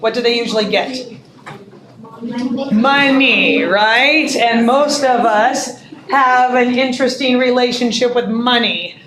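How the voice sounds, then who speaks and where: Over noticeable background noise and audible room echo, a woman speaks at a fairly slow pace in a high pitch with fairly even intonation. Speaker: English literature teacher. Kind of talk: classroom lecture.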